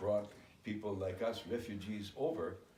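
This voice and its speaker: A fairly low-pitched man's voice with audible room echo and noticeable background noise. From Germany (Hamburg), moved to US Midwest at 10. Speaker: immigrant recounting life story. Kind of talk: interview.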